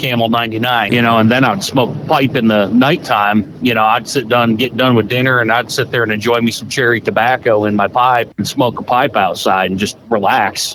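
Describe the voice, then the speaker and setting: Against noticeable background noise, a man of medium pitch talks at a fairly quick pace with fairly even intonation and hardly any pauses. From upstate New York. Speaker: truck driver, co-host. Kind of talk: casual chat.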